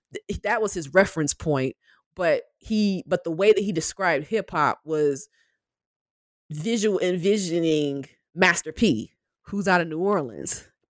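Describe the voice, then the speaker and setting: In a Southern US accent, a woman speaks at a fairly slow pace and fairly low pitch with ordinary pitch variation and long, frequent pauses, in a very clean recording with a silent background and a dry, close sound with no echo. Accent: Southern US (Georgia). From US South, southwest Georgia (Albany). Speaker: professor. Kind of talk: interview. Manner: casual, frequent laughter.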